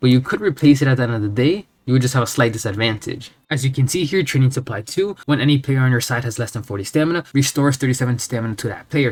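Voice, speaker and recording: A somewhat breathy man talks at a very fast pace and medium pitch, with ordinary pitch variation. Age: young. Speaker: gaming youtuber. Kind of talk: tutorial. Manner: casual.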